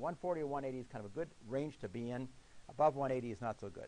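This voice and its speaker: A man's medium-pitched voice at a very fast pace, with ordinary pitch variation. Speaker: physician lecturer. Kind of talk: lecture.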